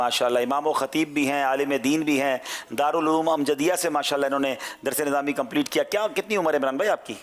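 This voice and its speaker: An ordinary speaking voice, a man speaks at a moderate pace and fairly high pitch, with ordinary pitch variation and very even loudness. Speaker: quiz show host. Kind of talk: quiz show hosting. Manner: formal.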